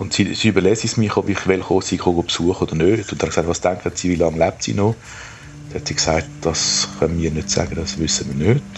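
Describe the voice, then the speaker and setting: Over noticeable background noise, a man talks at a very fast pace. His pitch is very deep and low, with ordinary variation. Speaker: retired psychologist. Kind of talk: personal audio diary. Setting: outdoors at a cemetery.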